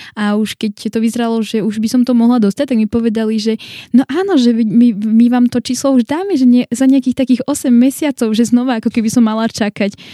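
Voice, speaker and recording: In a dry, close recording with no echo, a woman with a fairly high pitch and a dark, mellow tone talks at a fairly quick pace with ordinary pitch variation. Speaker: church member living abroad. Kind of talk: casual interview.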